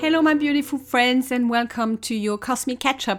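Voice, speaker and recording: Music plays in the background as a woman talks with ordinary pitch variation. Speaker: astrologer and coach. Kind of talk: podcast monologue.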